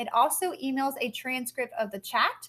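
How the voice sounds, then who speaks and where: Here a woman speaks at a high pitch with ordinary pitch variation. Her tone is bright and sharp. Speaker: instructional coach. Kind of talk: tutorial. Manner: fast.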